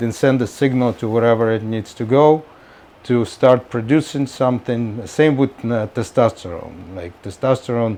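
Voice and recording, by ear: A man speaks at a medium pitch and a moderate pace. His tone is slightly mellow, with ordinary pitch variation.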